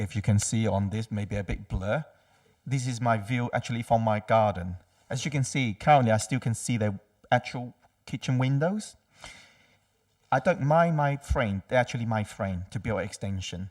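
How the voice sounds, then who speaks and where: A man with a non-native accent talks at a medium pitch and a moderate pace, with ordinary pitch variation, on a very clean recording with a silent background. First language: not English. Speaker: public speaker, objecting neighbour. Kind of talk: public objection statement. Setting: council committee meeting. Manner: halting.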